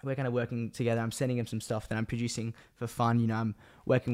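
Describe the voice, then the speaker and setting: Over a very clean recording with a silent background, a man speaks very fast at a medium pitch in a monotone, flat delivery. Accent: Australian. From Australia. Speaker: podcast host and videographer. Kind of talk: casual solo monologue. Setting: home room.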